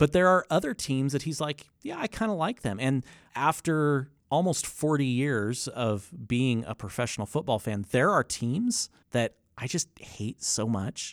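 On a very clean recording with a silent background, a man with a plain, everyday voice speaks at a fairly slow pace, his fairly high pitch carrying lively intonation. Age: 40s. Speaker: podcast host. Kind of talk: casual chat.

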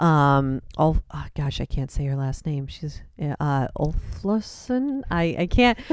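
A woman speaks very slowly in a very deep, low pitch with lively intonation and hardly any pauses. The recording is very clean, with a silent background. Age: 30s. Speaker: mountain biking podcast co-host. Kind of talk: casual chat. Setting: home basement workshop.

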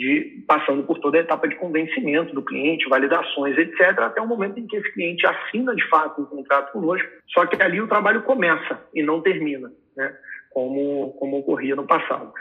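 Over noticeable background noise, a man talks at a fairly quick pace and a fairly high pitch with lively intonation. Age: 20s. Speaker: business executive. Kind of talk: podcast interview.

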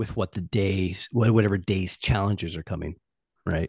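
A man speaks in a somewhat breathy voice with fairly even intonation. The sound is dry and close with no echo, and the background is quiet. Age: 40s. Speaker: sales coach and fitness enthusiast. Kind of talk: casual chat.

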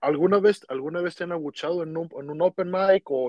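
A man speaks at a fairly quick clip with a high pitch. His pitch variation is ordinary. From Mexico. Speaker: podcast host. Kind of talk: casual interview.

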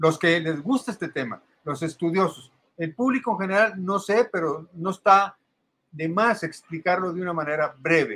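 A man's high-pitched voice with a bright, sharp tone. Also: ordinary pitch variation, moderate pace. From Mexico. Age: 70s. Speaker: alternative health advocate. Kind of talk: explanatory talk. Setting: video call.

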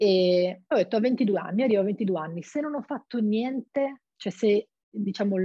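A woman talks at a medium pitch with ordinary variation. Her voice is somewhat breathy. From Friuli-Venezia Giulia, Italy (Monfalcone). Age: 20s. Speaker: actress. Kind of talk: interview.

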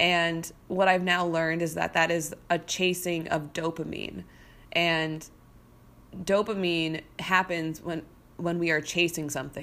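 On a very clean recording with a silent background, a bright, sharp voice speaks fairly slowly with monotone, flat intonation. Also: woman. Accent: American. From US Midwest, St. Louis suburbs. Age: 30s. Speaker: podcast host and business coach. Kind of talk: solo podcast monologue. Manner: casual, conversational with fillers.

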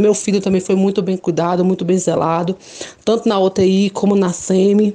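A woman speaks at medium pitch and a moderate pace. Noticeable background noise sits behind her. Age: 20s. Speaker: mother giving testimony. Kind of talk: testimony.

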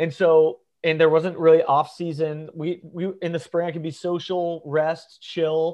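A man with an American accent speaks at a fairly slow pace with hardly any pauses, his fairly high voice held in a monotone, flat intonation. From US South, northeast Florida. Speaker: social media creator. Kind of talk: casual chat.

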